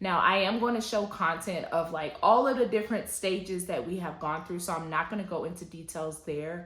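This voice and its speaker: In an American accent, a woman speaks at a moderate pace with a medium pitch. Her pitch varies in an ordinary way, and audible room echo surrounds her voice. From US South, Atlanta, Georgia. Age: 30s. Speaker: lifestyle vlogger. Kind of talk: personal testimony vlog.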